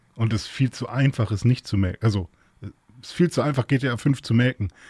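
At a fairly quick pace and with ordinary pitch variation, a dark, mellow, somewhat breathy voice comes through dry and close with no echo, on a very clean recording with a silent background. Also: man. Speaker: podcast guest. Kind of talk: casual chat.

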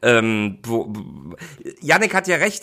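The man's voice has a bright, sharp tone. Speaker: football commentator. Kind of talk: casual chat.

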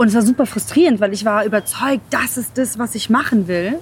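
A woman's voice is heard. Its intonation moves within an ordinary range. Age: 30s. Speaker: podcast host, pitch coach. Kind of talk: interview, casual chat. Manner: animated, enthusiastic.

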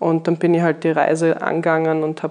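Speaking at a moderate pace, a woman uses monotone, flat intonation at a fairly low pitch. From Austria, Graz, Styria. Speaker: winery sales and export staff. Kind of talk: casual chat. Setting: on location at a winery.

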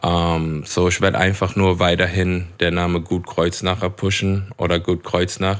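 A man with a very deep, low pitch, fairly slow and flat in a monotone, very even in loudness with hardly any pauses, on a very clean recording with a silent background. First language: English (speaking German). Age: 30s. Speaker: English-language rapper. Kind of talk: casual chat. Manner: code-switching German and English.

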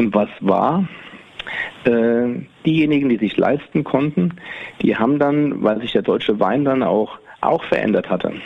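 Speaking at a medium pitch with lively intonation, a man leaves long, frequent pauses amid noticeable background noise. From Rheingau, Germany. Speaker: winemaker. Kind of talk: casual interview. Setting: on location at his winery. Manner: halting, many fillers.

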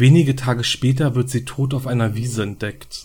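Somewhat breathy and dark, mellow in tone, a man's voice holds fairly even intonation. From Berlin. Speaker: true crime podcaster. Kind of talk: true crime narration. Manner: hesitant, many filler sounds.

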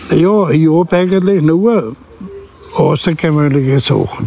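A man speaks with a fairly high pitch and ordinary pitch variation over noticeable background noise. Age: 70s. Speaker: crime victim, retired taxi driver. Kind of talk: interview. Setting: outdoors.

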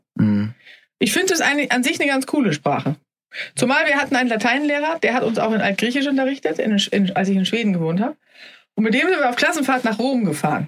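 Very fast and very even in loudness, a woman speaks at a high pitch. Her pitch swings very widely. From Sweden, then Germany (bilingual). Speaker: podcast host, health journalist. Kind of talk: casual health podcast talk.

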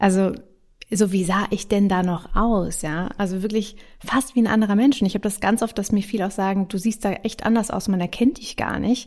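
In a normal speaking voice, a woman talks fairly quickly at a medium pitch with fairly even intonation. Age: 30s. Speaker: podcast host. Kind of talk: casual chat.

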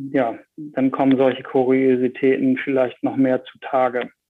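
Speaking with a northern German accent, a man talks at a very slow pace. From northern Germany, Bremen. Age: 40s. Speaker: energy industry executive. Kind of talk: interview.

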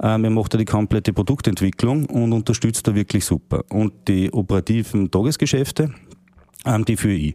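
Dark and mellow in tone, a man speaks at a fairly low pitch and a moderate pace with ordinary pitch variation. His loudness stays very even, and the very clean recording is dry and close, with no echo and a silent background. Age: young. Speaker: managing director of a kitchen company. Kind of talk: casual interview. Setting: company kitchen showroom.

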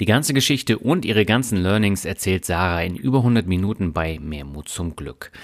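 A man with an unremarkable speaking voice talks at a fairly low pitch with lively intonation. The recording is very clean, with a silent background. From Germany. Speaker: podcast host. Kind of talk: interview; scripted narration.

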